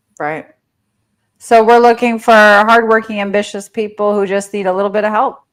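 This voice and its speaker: Over a silent background on a very clean recording, a woman with a New Jersey accent speaks at a moderate pace with fairly even intonation. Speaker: real estate coach. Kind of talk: interview.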